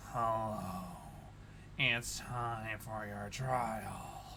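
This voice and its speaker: A man puts on a booming character voice at a medium pitch over loud background noise. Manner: menacing, ominous.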